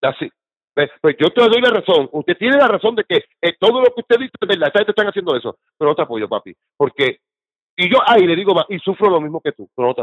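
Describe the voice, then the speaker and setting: Very wide pitch swings mark this man's high voice. He talks at a very fast pace. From Puerto Rico. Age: 50s. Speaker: political activist. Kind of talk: casual interview.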